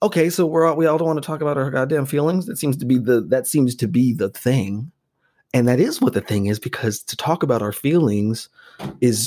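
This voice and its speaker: A man's dark, mellow tone with an American accent, very fast pace, and lively intonation. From Las Vegas, US. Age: 40s. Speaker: comedian and actor. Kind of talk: casual chat. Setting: video call.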